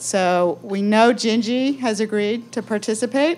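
With an American accent, a woman speaks in a plain, everyday voice at medium pitch with ordinary pitch variation. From New Jersey. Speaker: event moderator. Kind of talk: moderated talk. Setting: coffee shop event with audience.

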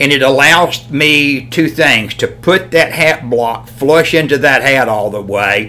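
Over noticeable background noise, a man with a Southern US accent talks at a very slow pace, at a medium pitch with ordinary pitch variation. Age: 60s. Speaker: hat maker. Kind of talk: casual chat.

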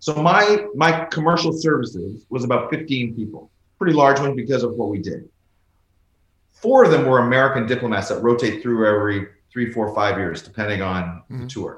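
Speaking in an ordinary speaking voice, a man with medium pitch uses lively intonation at a fairly quick pace. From rural Canada. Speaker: former ambassador. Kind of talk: interview conversation.

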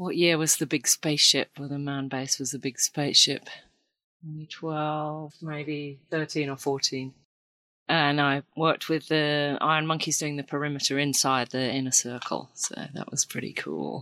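Speaking with a British accent, a woman has a very deep, low pitch, a bright, sharp tone and monotone, flat intonation at a moderate pace, on a very clean recording with a silent background and a dry, close sound with no echo. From Britain. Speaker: ceramic artist and volunteer. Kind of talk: casual interview.

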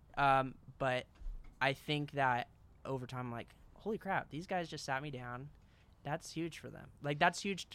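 A man speaks in a fairly high voice with a bright, sharp tone and ordinary pitch variation. He leaves long pauses often. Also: moderate pace. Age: 20s. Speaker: designer running a creative agency. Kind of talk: casual chat. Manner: halting.

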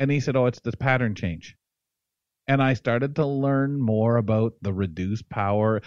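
A man with a plain, everyday voice and a Canadian accent speaks at a medium pitch with ordinary pitch variation, dry and close with no echo over a quiet background. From London, Ontario, Canada. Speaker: radio host. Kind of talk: casual interview. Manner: humorous, chatty.

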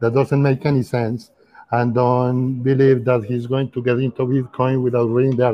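Speaking with a Spanish accent, a man talks at a moderate pace and a medium pitch. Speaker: former government official. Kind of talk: casual chat. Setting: video call.

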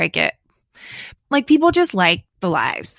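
Recorded dry and close with no echo, a woman talks with a Southern US accent. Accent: US South. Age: 40s. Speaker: podcast co-host. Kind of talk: casual chat.

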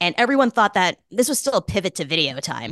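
Against a quiet background, a woman with an American accent talks at a fairly quick pace with lively intonation, and the sound is dry and close with no echo. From US Northeast, Boston. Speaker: journalist and author. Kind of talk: casual interview chat.

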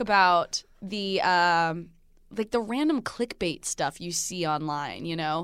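In a very clean recording with a silent background, a woman's intonation rises and falls in a lively way. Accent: American. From New Jersey. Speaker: TV host and podcaster. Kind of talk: casual chat. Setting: studio.

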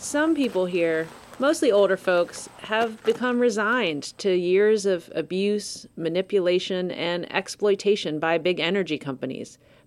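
Over noticeable background noise, a woman talks at a fairly slow pace with hardly any pauses, her medium pitch carrying lively intonation. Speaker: podcast host and narrator. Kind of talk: scripted narration.

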